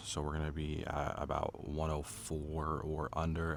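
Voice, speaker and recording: A man speaks with a very deep, low pitch. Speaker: gardening YouTuber. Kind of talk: casual gardening tutorial. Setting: outdoors in backyard garden, early morning.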